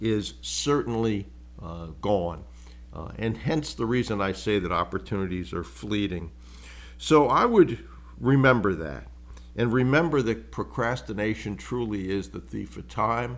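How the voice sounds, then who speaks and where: Vocal fry runs through this voice. The pitch swings very widely at a fairly slow pace. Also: man. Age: 70s. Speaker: business acquisition mentor, podcast host. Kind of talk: solo podcast monologue. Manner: casual, conversational with fillers.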